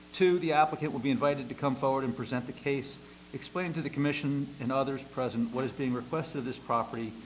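A man with an American accent talks at a very fast pace in a fairly high pitch, his intonation fairly even, over light background noise. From US Northeast. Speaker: planning commission chairman. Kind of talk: public meeting chairing. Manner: formal. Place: meeting room.

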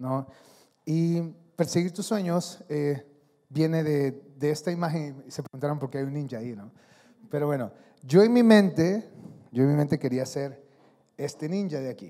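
Against a quiet background, a man speaks at a moderate pace with ordinary pitch variation, big swings in loudness and long, frequent pauses. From Honduras. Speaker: athlete and speaker; speaker. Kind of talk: motivational talk. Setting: stage with audience. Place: hall. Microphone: handheld.

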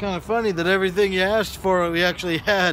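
A man speaks with a high pitch. The sound is dry with no echo, over light background noise. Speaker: car salesman. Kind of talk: personal video message to a customer. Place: street. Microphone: phone near.

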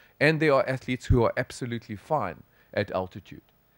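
With a South African accent, a man talks at a fairly quick pace with lively intonation, the sound dry with no echo and the background quiet. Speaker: sports physician, professor; professor. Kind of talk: conference lecture. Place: hall.

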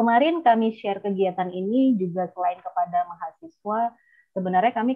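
Over a quiet background, a woman speaks at a moderate pace. Her intonation is fairly even. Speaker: architecture lecturer, moderator. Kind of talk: seminar moderation. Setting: video call. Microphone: earbuds.

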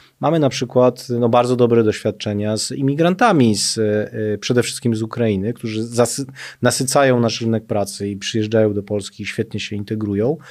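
The background is quiet as a man with an ordinary speaking voice talks at a fairly quick pace. His pitch is medium, with ordinary pitch variation. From Poland. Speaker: social policy expert, former deputy minister; former deputy minister. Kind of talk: interview. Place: studio. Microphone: studio mic.

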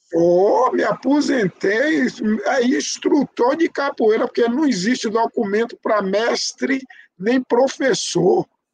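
Very slow delivery with lively intonation and very even loudness, in a dry sound with no echo. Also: man, extremely high pitch for a man. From Brazil, Bahia. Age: 70s. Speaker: capoeira master and community radio host; community radio host. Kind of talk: life story interview. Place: home room. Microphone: video call.

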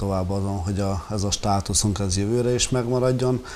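A man's fairly low voice, moderate pace and fairly even intonation, with light background noise. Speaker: football coach. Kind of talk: interview. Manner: hesitant, many fillers. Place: studio.

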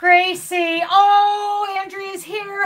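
A woman speaks in a raised, projected voice at an extremely high pitch. Her tone is bright and sharp, her intonation lively. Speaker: crochet YouTuber and truck driver; crochet YouTuber. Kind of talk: live stream chat. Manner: animated. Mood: cheerful, laughing. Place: home room. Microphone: phone near.

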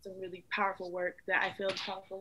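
This voice has a bright, sharp tone and an American accent, moving at a moderate pace. The background is quiet. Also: woman. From Klamath/Modoc lands, Chiloquin, Oregon. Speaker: artist. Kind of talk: studio tour interview. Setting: home studio. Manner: casual, filler-heavy. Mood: earnest, reflective. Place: home room. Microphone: video call.

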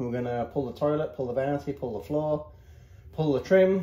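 This man's voice has a dark, mellow tone and is somewhat breathy. He talks at a fairly quick pace, with audible room echo. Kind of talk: casual vlog chat. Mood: jokey, relaxed. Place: home room.

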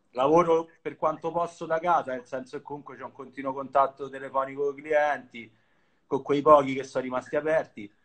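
A man with an unremarkable speaking voice talks at a fairly quick pace and a fairly high pitch. His intonation stays fairly even, and the background is quiet. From Rome, Italy (Monteverde). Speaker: streetwear collector, account manager. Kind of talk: casual chat. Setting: video call from home, on phone. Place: home room. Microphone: phone near.

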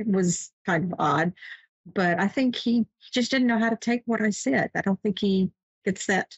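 A somewhat breathy woman at a moderate pace, ordinary pitch variation, dry sound with no echo and a quiet background. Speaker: show host. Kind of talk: personal story on live show. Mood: calm, warm, reflective. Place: home room. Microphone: webcam.

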